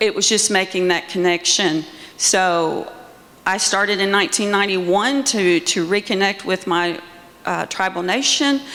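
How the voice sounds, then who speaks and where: A woman speaks at a moderate pace with a medium pitch and ordinary pitch variation. Her loudness stays very even, and there is noticeable background noise. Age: 60s. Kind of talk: panel discussion. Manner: halting.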